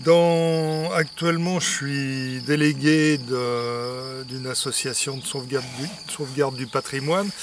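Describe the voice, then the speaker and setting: A man's fairly high voice at a very slow pace, with fairly even intonation and big swings in loudness, amid audible room echo and noticeable background noise. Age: 70s. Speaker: retired art student giving a testimonial. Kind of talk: testimony. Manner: halting, many filler sounds.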